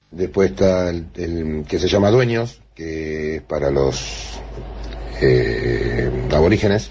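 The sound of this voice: A man talks slowly at an extremely low pitch, with vocal fry. His tone is slightly mellow. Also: lively intonation.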